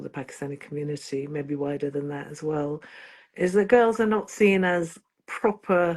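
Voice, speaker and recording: Ordinary pitch variation in a woman's fairly low voice. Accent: Yorkshire. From northern England, Bradford. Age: 60s. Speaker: singer-songwriter. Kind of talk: interview.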